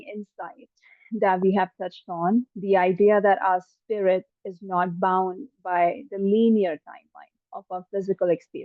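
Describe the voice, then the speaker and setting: A woman uses an ordinary speaking voice at medium pitch and a moderate pace. Her intonation is fairly even, but her loudness swings widely. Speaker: psychic medium. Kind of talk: channeling session. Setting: live online session.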